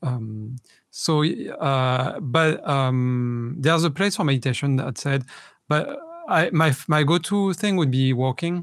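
With a French accent, a man speaks very slowly at a fairly high pitch. His loudness stays very even, and his pitch varies in an ordinary way. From France. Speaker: meditation teacher. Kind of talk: casual chat. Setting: video stream.

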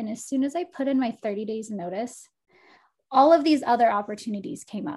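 A woman speaks at a fairly high pitch with lively intonation, somewhat breathy and dark and mellow in tone. The recording is very clean, with a silent background. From Texas. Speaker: life coach and oracle. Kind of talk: casual interview chat.

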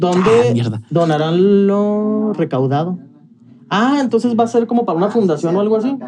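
A man speaks with a high pitch and lively intonation. Noticeable background noise runs behind him. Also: moderate pace. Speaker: podcast co-host. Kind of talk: casual chat.

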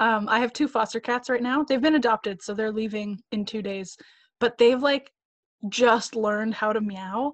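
Against a quiet background with a dry, close sound and no echo, a woman with an unremarkable speaking voice talks at a fairly slow pace and a fairly high pitch, with ordinary pitch variation. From Canada. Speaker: actor. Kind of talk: casual chat. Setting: video call.

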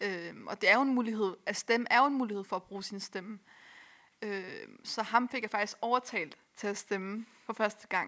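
A woman with a bright, sharp tone and fairly high pitch talks at a fairly slow pace. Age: 20s. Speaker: youth organization volunteer. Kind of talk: casual chat.

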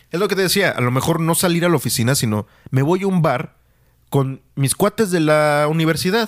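A man speaks at a fairly quick pace with a fairly high pitch and ordinary pitch variation. His loudness is very even, and the recording is very clean with a silent background. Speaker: podcast host. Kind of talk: casual chat. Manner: slangy, colloquial speech.

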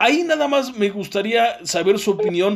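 A man with a Mexican accent talks at a fairly slow pace, his tone animated and his intonation lively. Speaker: podcast host. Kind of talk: interview.

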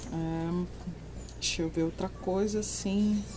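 A woman is speaking with audible room echo. Noticeable background noise runs underneath. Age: 40s. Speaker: book podcaster. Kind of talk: book review monologue. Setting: outdoors.

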